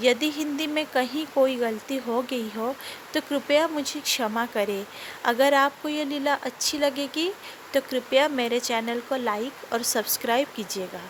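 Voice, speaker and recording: A woman with a non-native accent speaks at a high pitch with ordinary pitch variation. Noticeable background noise is present. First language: not Hindi (speaking Hindi). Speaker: devotional storyteller. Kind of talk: devotional storytelling.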